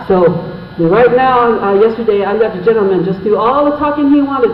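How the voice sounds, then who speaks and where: Audible room echo and noticeable background noise surround a man speaking at a fairly quick pace. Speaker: Navajo interpreter. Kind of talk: public meeting interpreting. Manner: halting.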